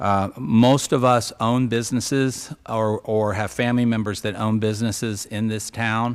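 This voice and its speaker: With a normal speaking voice, a man talks at a moderate pace and medium pitch, his intonation fairly even and hardly any pauses breaking it up. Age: 60s. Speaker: city council candidate. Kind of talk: candidate forum statement. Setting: event center with audience.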